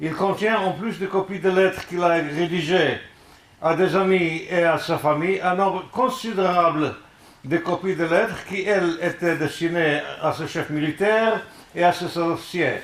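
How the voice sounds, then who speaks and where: A man with a high pitch and fairly even intonation at a fairly slow pace, with noticeable background noise and audible room echo. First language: not French (speaking French). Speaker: musicologist, lecturer. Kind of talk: lecture. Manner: halting.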